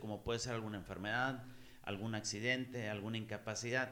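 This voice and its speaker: There is audible room echo around this man. His intonation is fairly even. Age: 30s. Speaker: podcast host. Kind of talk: casual chat.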